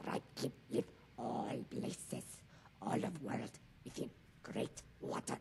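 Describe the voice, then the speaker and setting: Using a put-on character voice, a man at a medium pitch growls at a fairly slow pace with long, frequent pauses, over clear background noise. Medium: game stream. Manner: terse, broken fragments of speech.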